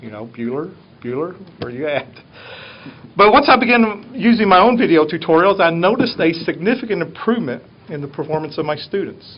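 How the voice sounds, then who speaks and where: This man speaks in a Southern US accent at a fairly quick pace. His pitch is high. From US South. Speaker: teacher. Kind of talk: presentation to a board.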